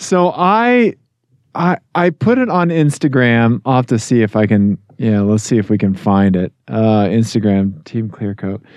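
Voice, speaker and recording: Using a normal speaking voice at medium pitch, a man talks with lively intonation and very even loudness, in a dry, close sound with no echo. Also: fairly slow pace. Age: 40s. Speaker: podcast co-host. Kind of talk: casual chat.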